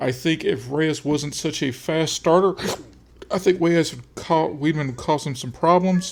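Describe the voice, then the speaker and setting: A man talks at a fairly slow pace in a plain, everyday voice with fairly high pitch. His intonation is fairly even, while his loudness swings widely. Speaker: sports picks host. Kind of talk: casual sports analysis monologue.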